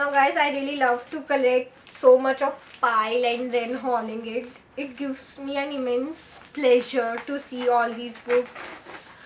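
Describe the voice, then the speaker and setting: A woman with a high pitch speaks at a fairly slow pace in a monotone, flat intonation over noticeable background noise. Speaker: booktuber. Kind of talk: book haul video.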